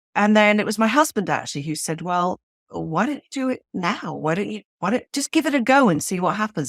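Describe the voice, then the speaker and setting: Fairly quick, a woman with a British accent talks at medium pitch in a very clean recording with a silent background, the sound dry and close with no echo. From Switzerland. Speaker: novelist. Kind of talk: interview.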